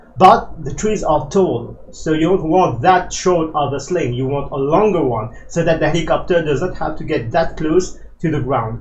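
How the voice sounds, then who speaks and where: With audible room echo and noticeable background noise, a man speaks at a moderate pace in a fairly high pitch. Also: lively intonation. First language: not English. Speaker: flight simulator tutorial creator. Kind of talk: tutorial. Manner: hesitant, many fillers.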